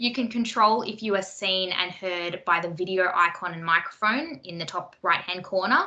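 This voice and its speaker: Noticeable background noise sits behind a woman speaking at a moderate pace with an Australian accent. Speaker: workshop moderator. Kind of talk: online workshop housekeeping instructions. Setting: video call.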